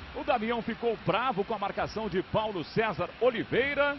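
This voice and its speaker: Over noticeable background noise, a man talks fairly slowly with lively intonation. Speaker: football play-by-play commentator. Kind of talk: live commentary. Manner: animated.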